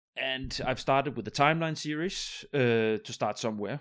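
A man with a Danish accent talks at a moderate pace. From Denmark. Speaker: podcast host. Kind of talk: casual interview chat.

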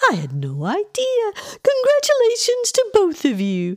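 A woman puts on a character voice, her extremely high pitch swinging very widely as she talks at a fairly slow pace.

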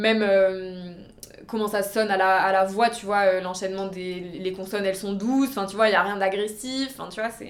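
An unremarkable speaking voice moves at a moderate pace with fairly even intonation and big swings in loudness. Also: woman, medium pitch for a woman. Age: 20s. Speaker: nail artist. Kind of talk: casual chat.

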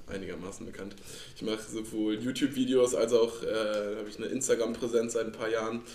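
A man speaks fairly quickly at a medium pitch with monotone, flat intonation. His loudness swings a lot. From Rhineland, Cologne-Aachen region, Germany. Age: 20s. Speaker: angler and fishing social media creator. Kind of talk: casual chat. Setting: club house, at a table with drinks.

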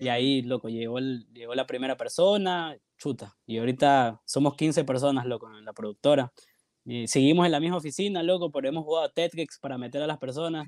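In a plain, everyday voice, a man talks at a fairly quick pace and fairly high pitch, with ordinary pitch variation and big swings in loudness. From Guayaquil, Ecuador. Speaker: filmmaker and photographer. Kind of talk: casual interview chat.

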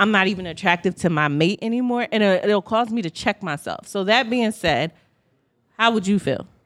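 Loud and bright with a sharp tone, a woman speaks at a moderate pace and medium pitch with ordinary variation, in a very clean recording with a silent background and a dry, close sound with no echo. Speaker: podcast co-host. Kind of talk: casual chat.

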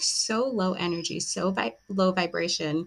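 With an unremarkable speaking voice, a woman talks at a medium pitch with ordinary pitch variation. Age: 30s. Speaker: podcast host. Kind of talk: solo monologue. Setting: home recording with a glass of wine.

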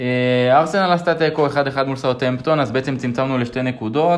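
At a fairly quick pace, a man talks in a normal speaking voice with a medium pitch and ordinary pitch variation. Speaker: podcast host. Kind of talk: casual chat.

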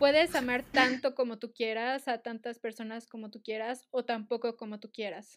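A woman's normal speaking voice at a fairly high pitch and moderate pace, with fairly even intonation, big swings in loudness and a very clean recording with a silent background. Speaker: podcast co-host. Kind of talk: casual chat.

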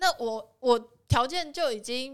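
A woman talks in a high pitch. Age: 20s. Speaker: photographer. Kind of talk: casual chat.

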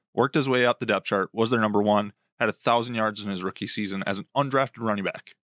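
Against a quiet background, recorded dry and close with no echo, a man with an American accent talks very fast at medium pitch with ordinary pitch variation. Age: 30s. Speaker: sports podcast host. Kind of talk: casual chat.

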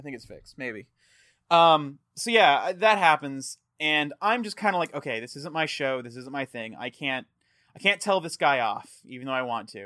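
Speaking at a moderate pace in an American accent, a man with a fairly high, bright, sharp voice uses lively intonation and big swings in loudness, recorded dry and close with no echo on a very clean recording with a silent background. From Texas. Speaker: podcast host. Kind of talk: casual chat.

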